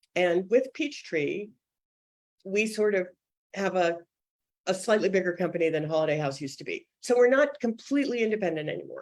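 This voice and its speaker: A woman with an American accent speaks at a medium pitch with lively intonation, leaving long, frequent pauses. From US Northeast (suburban Boston). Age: 60s. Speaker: children's book editor. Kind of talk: interview. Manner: fast.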